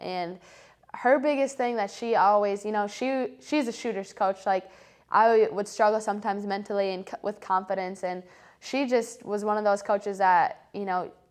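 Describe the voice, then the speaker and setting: The speaker has an unremarkable speaking voice with ordinary pitch variation at a moderate pace. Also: woman. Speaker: college basketball player. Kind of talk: casual interview.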